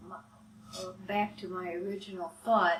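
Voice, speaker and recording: A woman's medium-pitched voice in an Upper Midwest accent, very slow and fairly even in intonation, over noticeable background noise. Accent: Upper Midwest American. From rural Wisconsin, USA. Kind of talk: interview answer.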